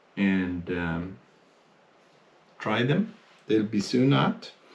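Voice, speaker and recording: The pace is very slow. Pitch swings very widely throughout. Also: man. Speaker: fly tier, fly shop presenter. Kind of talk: tutorial. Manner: hesitant, many fillers.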